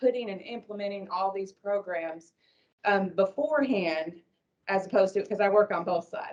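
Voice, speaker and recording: A woman speaks at a moderate pace in a medium pitch. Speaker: addiction recovery worker. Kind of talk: conference panel talk. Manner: loud.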